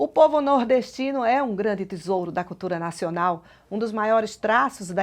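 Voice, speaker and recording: This woman has a normal speaking voice, medium in pitch, with lively intonation. She talks at a moderate pace over a quiet background. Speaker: TV program presenter. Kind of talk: TV program introduction.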